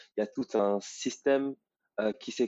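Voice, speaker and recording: A man speaks at a fairly slow pace. His pitch is medium. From Paris suburbs, France. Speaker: reader of the book. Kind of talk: interview. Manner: hesitant.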